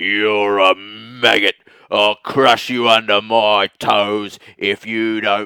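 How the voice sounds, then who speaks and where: Using a put-on character voice, a man speaks at a very slow pace in a monotone, flat intonation. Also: fairly low pitch for a man. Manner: menacing, scornful.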